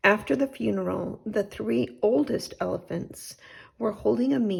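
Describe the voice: What you hear is plain reading aloud.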